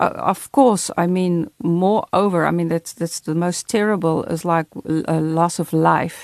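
In a dry, close recording with no echo, a woman with an unremarkable speaking voice talks at a fairly slow pace, her pitch fairly low with ordinary variation. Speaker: radio co-host and former missionary. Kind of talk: radio interview.

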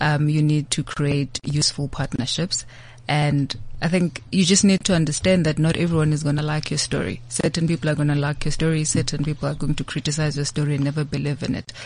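Somewhat breathy and very deep in pitch, a woman speaks with fairly even intonation. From South Africa, rural KwaZulu-Natal. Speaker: investment executive. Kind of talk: interview. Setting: studio.

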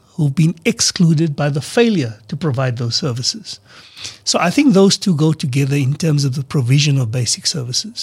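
Somewhat breathy with lively intonation and a dry, close sound free of echo. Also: man. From South Africa. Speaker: political party leader. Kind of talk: radio interview. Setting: studio.

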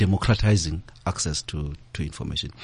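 The voice is somewhat breathy. The pace is fairly quick. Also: man. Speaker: head of a corporate foundation. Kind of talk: panel discussion on radio. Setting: radio studio. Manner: halting, repeats words.

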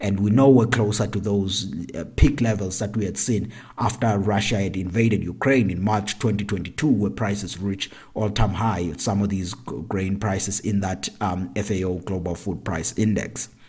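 This man's voice is fairly low in pitch and somewhat breathy. He speaks at a moderate pace with ordinary pitch variation. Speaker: agricultural economist podcast host. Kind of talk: solo commentary.

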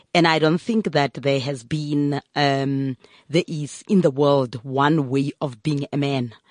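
A woman with a very deep, low pitch speaks very slowly with ordinary pitch variation, the sound dry and close with no echo. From South Africa. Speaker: NGO chief executive. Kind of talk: radio interview. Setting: studio.

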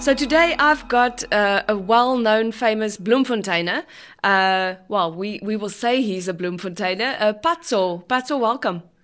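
A woman with an unremarkable speaking voice talks at a fairly slow pace, her pitch fairly high and her intonation lively. She hardly pauses, and the background is quiet. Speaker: podcast host. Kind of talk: interview.

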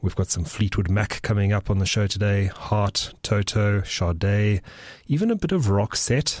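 Somewhat breathy and fairly low in pitch, a man's voice is heard in a very clean recording with a silent background and a dry, close sound with no echo. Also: very even loudness. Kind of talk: radio DJ patter between songs, casual music-show presenting. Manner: relaxed, friendly, conversational with filler 'uh' and 'um'; upbeat, promotional, repeating show and contact details.

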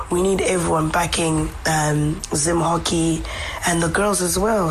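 A woman at a fairly low pitch, flat and monotone, with music in the background. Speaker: hockey pundit and academy secretary. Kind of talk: radio interview, conversational. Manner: fluent, thoughtful, with fillers like 'you know'.

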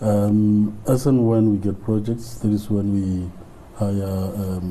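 Audible room echo surrounds a man talking at a very slow pace. His pitch is fairly low and his intonation monotone and flat. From South Africa, Limpopo rural village. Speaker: business owner. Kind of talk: interview. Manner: halting.

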